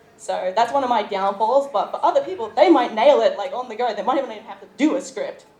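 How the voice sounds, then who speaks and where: Noticeable background noise accompanies a woman speaking. She talks at a fairly quick pace with ordinary pitch variation. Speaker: YouTuber, convention panelist. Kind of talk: convention panel talk. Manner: fast.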